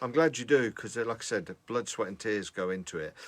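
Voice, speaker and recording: On a very clean recording with a silent background, a man with an ordinary speaking voice talks at a fairly quick pace and fairly low pitch. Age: 50s. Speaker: music producer. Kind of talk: casual chat.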